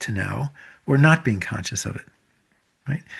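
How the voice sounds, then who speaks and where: Somewhat breathy delivery comes at a moderate pace with ordinary pitch variation. The background is quiet. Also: man. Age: 70s. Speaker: author and teacher of a Japanese self-reflection practice. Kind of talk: interview conversation. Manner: halting, with many fillers and restarts.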